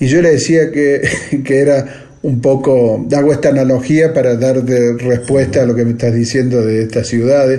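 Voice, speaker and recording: Over noticeable background noise and audible room echo, a man speaks with fairly even intonation and very even loudness. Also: medium pitch for a man, moderate pace. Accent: strong Argentine. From Argentina. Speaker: bandoneon player and composer. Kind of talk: interview. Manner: halting.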